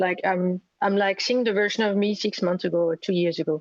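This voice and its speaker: Speaking with a French accent, a woman keeps a moderate pace. Her intonation is fairly even. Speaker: gym member. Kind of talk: asking a question on a call. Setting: video call.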